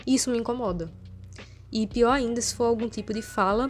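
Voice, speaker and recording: The woman talks at a fairly quick pace in a somewhat breathy voice. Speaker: vlogger. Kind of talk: casual vlog monologue. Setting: at home. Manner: soft-spoken.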